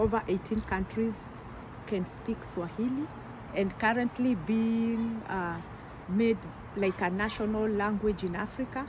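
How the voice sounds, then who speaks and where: A woman with a Kenyan accent, fairly high-pitched, fairly slow, with fairly even intonation. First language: Kikuyu. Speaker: teacher and community health doctor. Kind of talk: interview.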